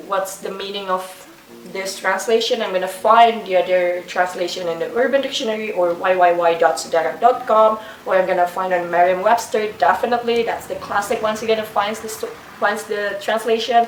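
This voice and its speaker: In a room with audible echo and noticeable background noise, a woman with a non-native accent talks with fairly even intonation. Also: medium pitch for a woman, fairly quick pace. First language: not English. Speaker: booktuber. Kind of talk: casual book review vlog. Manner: halting.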